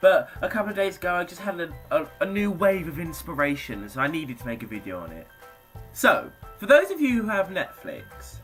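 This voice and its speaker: Upbeat in tone, a man with a British accent talks over music in the background. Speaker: YouTuber. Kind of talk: casual talk to camera.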